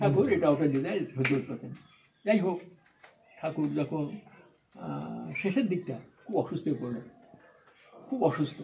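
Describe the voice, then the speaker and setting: A man speaks with very wide pitch swings. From Bangladesh. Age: 80s+. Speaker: Satsang priest (ritwik). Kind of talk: interview answer, spiritual reminiscence.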